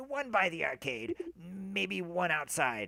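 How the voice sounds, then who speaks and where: A raspy, put-on character voice from a man, high-pitched for a man, with very wide pitch swings and a fairly slow pace. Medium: stage play.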